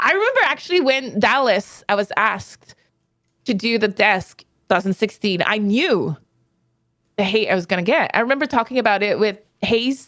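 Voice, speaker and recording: Her pitch is fairly high, with ordinary variation. The woman speaks at a moderate pace. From Quebec, Canada. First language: French. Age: 30s. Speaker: esports player and analyst. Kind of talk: interview.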